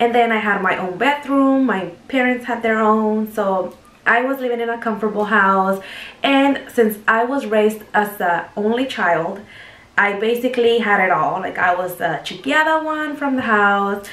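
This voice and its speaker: There is audible room echo as a woman with a fairly high pitch speaks at a moderate pace with ordinary pitch variation. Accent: Mexican. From Mexico, Jalisco. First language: Spanish. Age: 20s. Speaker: vlogger. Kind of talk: casual chat.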